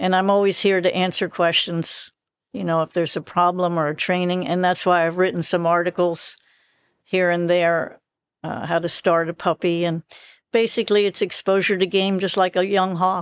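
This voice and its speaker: The recording is very clean, with a silent background. A woman with a fairly low pitch talks at a moderate pace in a monotone, flat intonation. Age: 70s. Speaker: dachshund breeder and falconer. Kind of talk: casual interview chat. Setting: outdoors at dachshund field trials.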